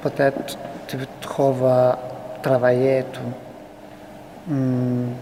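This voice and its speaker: The speech is very slow, with long, frequent pauses and noticeable background noise. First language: not French (speaking French). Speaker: refugee interviewee. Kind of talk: interview testimony. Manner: halting.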